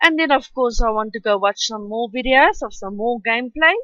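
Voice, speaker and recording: In a South African accent, a woman speaks with a high pitch, ordinary pitch variation and a bright, sharp tone, recorded with a dry, close sound and no echo. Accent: Afrikaans-accented English. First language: Afrikaans. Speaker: art youtuber. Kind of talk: tutorial voice-over. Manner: halting.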